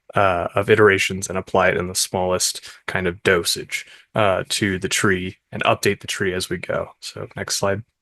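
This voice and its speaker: A soft-spoken man with a fairly low pitch is heard with a dry, close sound and no echo. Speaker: paper co-author presenting research. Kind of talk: conference talk. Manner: hesitant, many fillers.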